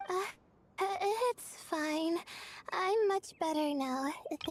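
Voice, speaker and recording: A woman puts on a squeaky character voice with an extremely high pitch, speaking at a fairly slow pace with ordinary pitch variation. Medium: video game. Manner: hesitant, halting, full of fillers.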